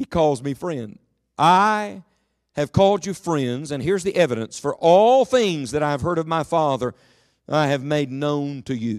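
In a very clean recording with a silent background, a man with an American accent speaks at a moderate pace, his fairly high pitch carrying lively intonation. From West Virginia, Beckley. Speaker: guest preacher. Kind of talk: sermon. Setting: church with congregation.

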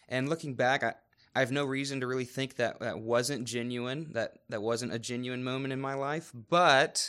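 A man's unremarkable speaking voice with an American accent, medium in pitch, with ordinary pitch variation, a fairly slow pace, and a very clean recording over a silent background. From North Carolina, Raleigh. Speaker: youth director. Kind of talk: interview testimony.

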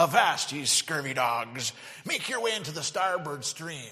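A man puts on a character voice at a fairly high pitch. He speaks at a moderate pace. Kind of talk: old-fashioned pirate speech. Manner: booming, commanding.

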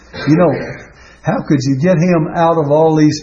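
A man's fairly high-pitched voice at a fairly slow pace, with noticeable background noise. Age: 80s+. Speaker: preacher. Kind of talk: sermon. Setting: church.

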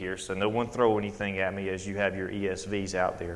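A man with a Southern US accent speaks in a fairly low pitch. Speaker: preacher. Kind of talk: sermon. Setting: church. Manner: halting.

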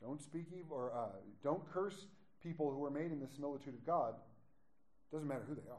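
Amid audible room echo, a man with a fairly high pitch and ordinary pitch variation speaks at a fairly quick pace, leaving long, frequent pauses. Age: 40s. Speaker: pastor. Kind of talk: sermon. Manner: animated.

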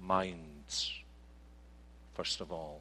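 A man with a Scottish accent speaks at a very slow pace in a bright, sharp tone. The recording is very clean, with a silent background. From Scotland. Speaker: pastor. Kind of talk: sermon. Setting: church.

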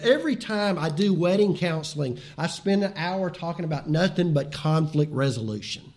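Through audible room echo, a man speaks at a moderate pace with lively intonation. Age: 60s. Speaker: pastor. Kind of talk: sermon.

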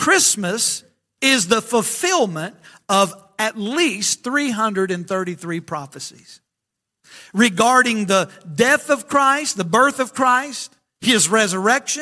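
A man's raised, projected voice in a Southern US accent, high-pitched with a bright, sharp tone, lively intonation and a very slow pace. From Alabama. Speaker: pastor. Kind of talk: sermon. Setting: church.

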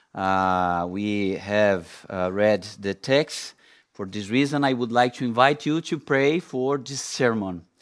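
A man with a non-native accent speaks at a very slow pace. His pitch varies in an ordinary way, and the recording is very clean with a silent background. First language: not English. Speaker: preacher. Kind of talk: sermon. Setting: church. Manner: halting.

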